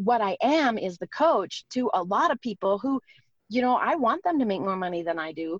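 At a moderate pace, a woman with a fairly high pitch makes very wide pitch swings in a dry, close sound with no echo. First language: not English. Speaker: network marketing entrepreneur. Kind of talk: interview. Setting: in a car on a call.

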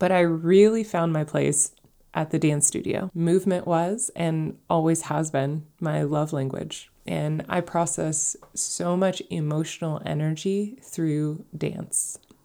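This woman has a very deep, low pitch and a dark, mellow tone, speaking at a very slow pace with hardly any pauses and fairly even intonation. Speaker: podcast host. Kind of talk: personal storytelling monologue.

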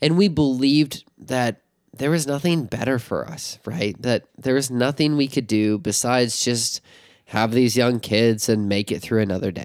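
The pace is moderate. The recording is very clean, with a silent background. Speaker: podcast co-host. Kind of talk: casual chat. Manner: animated.

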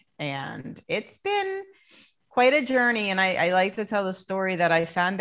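In an ordinary speaking voice, a woman with an American accent talks at a fairly slow pace, with a medium pitch and ordinary pitch variation. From US Northeast, New Jersey Shore. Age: 50s. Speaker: coaching client and coach. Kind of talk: testimony.

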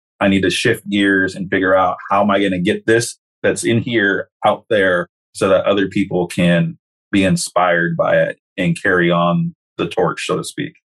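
A man's ordinary speaking voice, fairly low in pitch, with lively intonation at a moderate pace, in a dry, close sound with no echo. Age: 40s. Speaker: corrections counselor and life coach. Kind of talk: casual interview.

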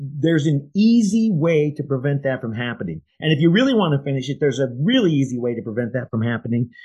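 A man with an American accent speaks at a moderate pace in a fairly high pitch, his voice somewhat breathy and his intonation lively, over a quiet background. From Iowa. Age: 60s. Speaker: podcast co-host, insurance agent. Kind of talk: casual chat.

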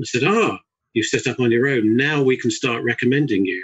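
A man is speaking with a southern English accent. He talks at a fairly quick pace. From Surrey, southern England. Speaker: chartered building surveyor. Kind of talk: casual interview chat.

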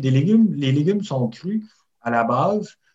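A man's somewhat breathy voice at a medium pitch, with a Quebec accent. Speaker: barbecue enthusiast and Instagrammer. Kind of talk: interview.

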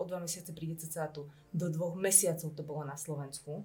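Music plays behind a woman with a fairly low pitch. She talks at a very fast pace with fairly even intonation. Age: 30s. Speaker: entrepreneur and marketer. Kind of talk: casual interview. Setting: studio.

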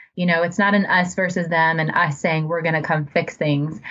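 The speaker has an American accent and a fairly quick pace. Pitch varies in an ordinary way, with noticeable background noise. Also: woman. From US Midwest (suburban Ohio). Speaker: nonprofit public relations director. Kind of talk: interview conversation.

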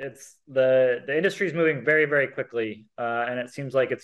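A man with a plain, everyday voice speaks at a medium pitch and a fairly quick pace, with ordinary pitch variation. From US, Seattle area. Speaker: tech entrepreneur. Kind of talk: casual interview.

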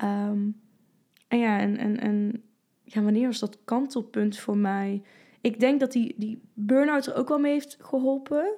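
A woman's very slow delivery at a fairly high pitch, dark, mellow tone and ordinary pitch variation. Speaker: fitness coach and former bodybuilder. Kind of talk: casual chat. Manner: animated.

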